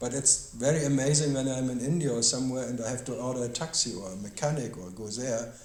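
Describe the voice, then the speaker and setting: A man's medium-pitched voice with a German accent, fairly quick, with ordinary pitch variation, audible room echo and noticeable background noise. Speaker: spiritual teacher. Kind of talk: question-and-answer dialogue. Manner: halting.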